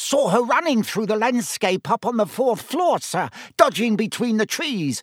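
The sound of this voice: The speaker uses a put-on character voice and cackles. The pace is fairly slow, with big pitch swings. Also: man, high pitch for a man.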